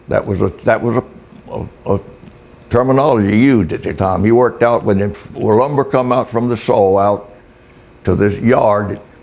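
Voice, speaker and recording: Over noticeable background noise, a man with an American accent and a medium pitch talks at a moderate pace with ordinary pitch variation and long, frequent pauses. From US South, Florida Panhandle. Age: 80s+. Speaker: retired fisherman. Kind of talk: interview. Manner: halting.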